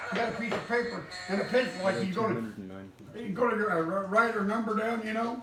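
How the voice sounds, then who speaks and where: A man speaks at a high pitch and a fairly quick pace. Noticeable background noise runs underneath. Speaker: grandfather telling family stories. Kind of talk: casual storytelling. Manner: enthusiastic.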